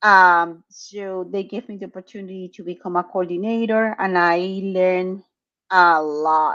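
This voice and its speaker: A woman in a Spanish accent talks at a fairly slow pace and medium pitch, her bright, sharp tone flat and monotone but with big swings in loudness, against a quiet background. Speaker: clinical research site owner. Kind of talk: interview. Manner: halting.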